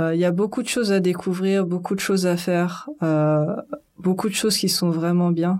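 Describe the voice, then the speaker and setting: A woman speaks at a fairly slow pace and a medium pitch, her tone dark and mellow. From France, Paris suburbs. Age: 20s. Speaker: web and mobile app developer. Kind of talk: casual chat.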